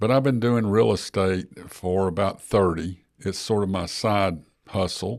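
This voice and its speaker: A man with an Alabama accent speaks at a fairly slow pace in a fairly low voice with ordinary pitch variation, on a very clean recording with a silent background. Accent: Southern US (Alabama). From US South (Gadsden, Alabama). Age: 70s. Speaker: personal injury lawyer and real estate investor. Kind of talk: podcast interview.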